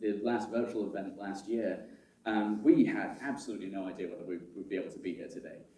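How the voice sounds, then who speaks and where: Fairly quick speech from a man with an American accent, with audible room echo. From United Kingdom. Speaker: conference chair and systems architect. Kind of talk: conference opening speech. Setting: stage with live audience. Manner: halting, many fillers and repetitions.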